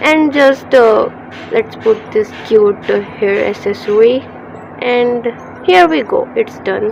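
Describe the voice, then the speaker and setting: A woman speaks at a very slow pace with a fairly high pitch and ordinary pitch variation. Noticeable background noise is present. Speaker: digital artist. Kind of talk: tutorial. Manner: halting, many fillers.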